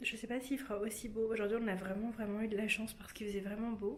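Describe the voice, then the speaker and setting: A soft-spoken woman talks in a fairly high pitch, with audible echo in the room. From French Mediterranean coast. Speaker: lifestyle vlogger. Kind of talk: casual vlog chat.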